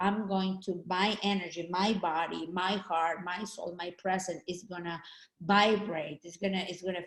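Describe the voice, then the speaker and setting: This woman has a medium pitch and a slight Mexican accent. She talks fairly slowly in a flat, monotone way. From Mexico. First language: Spanish. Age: 50s. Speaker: network marketing trainer. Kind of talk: training talk. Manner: halting.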